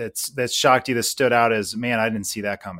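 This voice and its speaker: The speaker has an unremarkable speaking voice with ordinary pitch variation. The recording is very clean, with a silent background. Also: man. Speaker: podcast co-host. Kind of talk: interview.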